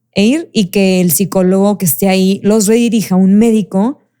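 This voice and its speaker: A woman speaks in a dark, mellow tone at medium pitch. Her pace is fairly slow, with ordinary pitch variation. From Mexico, Monterrey (Nuevo León). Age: 30s. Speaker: mental health advocate. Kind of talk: interview conversation. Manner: halting, many self-corrections.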